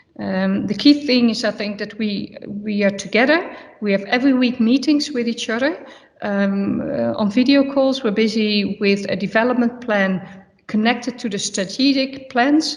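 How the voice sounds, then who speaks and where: Speaking with a Dutch accent, a woman with a fairly high, somewhat breathy voice keeps a moderate pace and ordinary pitch variation. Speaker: football manager. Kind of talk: press conference. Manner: halting, searching for words.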